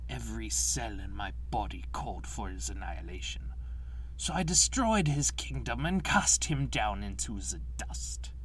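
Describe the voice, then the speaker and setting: Clear background noise accompanies a man doing a put-on character voice. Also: moderate pace. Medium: dub.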